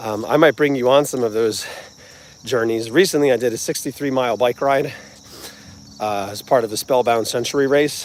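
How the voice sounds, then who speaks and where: In a New Jersey accent, a man talks with long, frequent pauses. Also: medium pitch for a man, ordinary pitch variation, moderate pace. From New Jersey, US. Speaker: music channel host, vlogger. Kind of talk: casual livestream chat. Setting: outdoors, walking.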